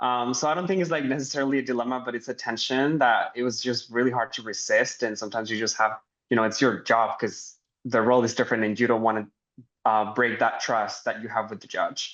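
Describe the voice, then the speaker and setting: This man talks at a very fast pace in a medium-pitched voice. His intonation stays fairly even. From Mexico. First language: Spanish. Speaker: translator and interpreter, alumni panelist. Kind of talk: panel discussion. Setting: live online panel.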